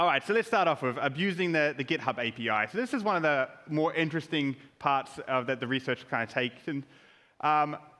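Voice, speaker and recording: Speaking with a New Zealand accent, a man has a fairly high pitch, a bright, sharp tone, lively intonation and a fairly quick pace. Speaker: security researcher. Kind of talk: conference talk.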